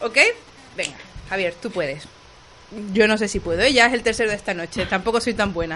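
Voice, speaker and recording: Over noticeable background noise, a woman speaks at a fairly quick pace and medium pitch. Her pitch varies in an ordinary way, with long, frequent pauses. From Canary Islands, Lanzarote. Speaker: youtuber. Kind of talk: casual chat.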